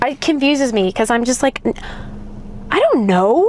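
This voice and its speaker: Over noticeable background noise, a woman talks at a moderate pace with an animated tone and lively intonation. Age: 20s. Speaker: vlogger. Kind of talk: casual vlog monologue. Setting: in a car.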